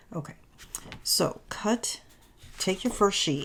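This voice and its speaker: Soft-spoken and somewhat breathy, a woman speaks at a very slow pace. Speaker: paper crafting youtuber. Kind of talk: tutorial. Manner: halting, self-correcting. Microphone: new microphone.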